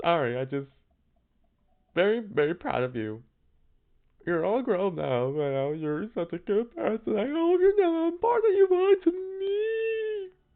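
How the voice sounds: A put-on character voice at a fairly high pitch, moving at a moderate pace with long, frequent pauses.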